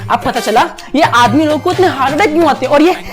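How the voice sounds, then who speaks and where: An energetic tone and lively intonation from a man, with music in the background. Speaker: actor and content creator. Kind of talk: comedy monologue performance with Hindi-English code-switching. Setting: acting a scripted monologue to camera. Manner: fast, ranting, sarcastic, energetic.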